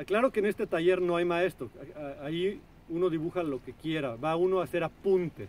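Here a man speaks at a fairly quick pace with a high pitch and ordinary pitch variation. The sound is dry, with no echo. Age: 40s. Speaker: artist and video blogger; video blogger. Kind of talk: casual vlog monologue. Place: waterside.

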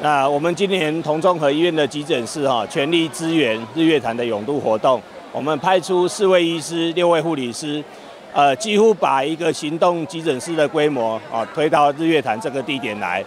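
Against light background noise, the speech moves at a moderate pace with ordinary pitch variation and a dry sound with no echo. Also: man, fairly high pitch for a man. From Taiwan. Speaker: health official. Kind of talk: interview. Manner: halting, many fillers. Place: tent. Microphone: handheld.

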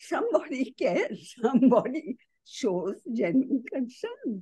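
Against a quiet background, a woman speaks at a very slow pace in a high-pitched, dark, mellow tone, her pitch swinging very widely. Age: 80s+. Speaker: writer and cultural columnist; guest. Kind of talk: online talk Q&A. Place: home room. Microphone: video call.

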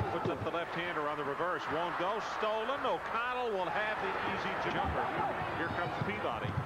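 A dry sound with no echo, loud background noise and a fairly quick pace. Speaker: basketball play-by-play commentator. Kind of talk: live sports commentary. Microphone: headset.

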